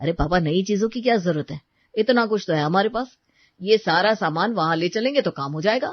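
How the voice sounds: Natural-sounding reading against a quiet backdrop.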